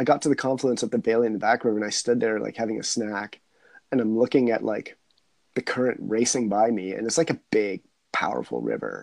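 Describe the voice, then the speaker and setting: At a fairly quick pace, a man with a normal speaking voice talks in a medium pitch with fairly even intonation and a dry, close sound with no echo. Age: 40s. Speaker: wildlife biologist and adventurer. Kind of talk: casual chat.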